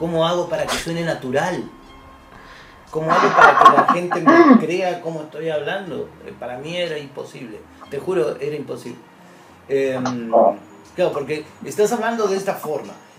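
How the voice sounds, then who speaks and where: In a room with audible echo and noticeable background noise, a man with high pitch and lively intonation speaks at a moderate pace, his loudness swinging widely between long, frequent pauses. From Buenos Aires, Argentina. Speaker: voice actor and narrator. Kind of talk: interview.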